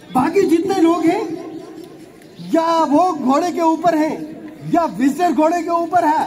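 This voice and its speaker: A man's extremely high voice, fairly even in intonation, with long, frequent pauses, noticeable background noise and audible room echo. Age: 50s. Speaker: politician. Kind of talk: public speech. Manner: impassioned.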